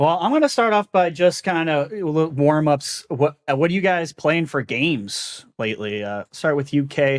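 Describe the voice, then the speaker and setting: This man has a normal speaking voice with a fairly high pitch and lively intonation. He keeps a moderate pace on a very clean recording with a silent background. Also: hardly any pauses. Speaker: podcast host. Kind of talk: casual chat.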